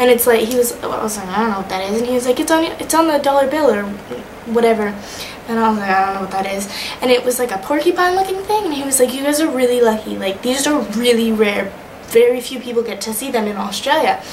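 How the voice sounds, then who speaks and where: A woman's high-pitched voice with an American accent, very fast pace and lively intonation, amid audible room echo and noticeable background noise. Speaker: vlogger, study-abroad student. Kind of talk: casual video diary. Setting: recording to camera. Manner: animated.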